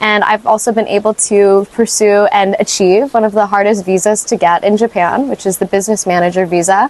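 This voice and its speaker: Fairly quick, nearly pauseless speech with very even loudness and fairly even intonation, dry and close with no echo, against noticeable background noise. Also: woman, medium pitch for a woman. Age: 20s. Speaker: small business owner. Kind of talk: interview monologue.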